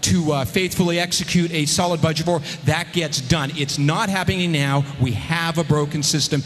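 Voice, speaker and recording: Music plays behind a man talking at a moderate pace. His pitch is high. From California, Central Valley. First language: Armenian. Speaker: politician, state assembly member. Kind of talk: campaign speech at forum; forum debate answer. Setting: public forum with audience.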